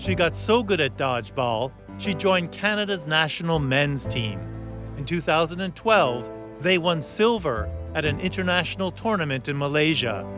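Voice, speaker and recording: Very wide pitch swings at a moderate pace, with music in the background. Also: man, fairly high pitch for a man. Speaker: journalist. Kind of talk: documentary narration.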